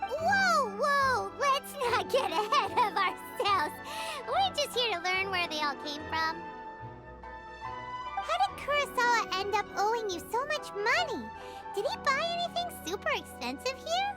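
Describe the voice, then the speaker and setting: Loud music plays in the background behind a put-on character voice at an extremely high pitch. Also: moderate pace. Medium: video game. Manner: lively, expressive.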